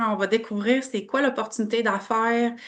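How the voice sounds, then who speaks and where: Over a quiet background, a woman talks at a fairly high pitch. Her tone is bright and sharp. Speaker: network marketing presenter. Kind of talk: online business opportunity presentation.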